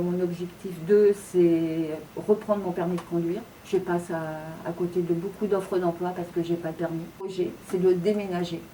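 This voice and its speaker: With noticeable background noise behind her, a woman speaks at a moderate pace in a fairly low pitch with monotone, flat intonation. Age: 60s. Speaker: job seeker. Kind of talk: testimony. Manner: halting, many hesitations and repetitions.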